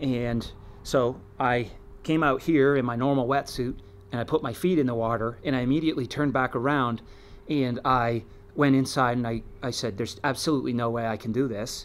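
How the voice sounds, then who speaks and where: A man at a fairly quick pace, his intonation fairly even. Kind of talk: casual vlog chat. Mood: reflective, calm. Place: waterside. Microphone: camera far.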